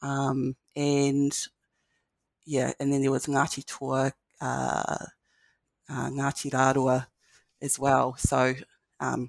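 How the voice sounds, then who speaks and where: Speaking with a New Zealand accent, a woman has a very deep, low pitch, captured with a dry, close sound and no echo. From New Zealand, Marlborough (Blenheim). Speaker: lecturer in education. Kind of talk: interview.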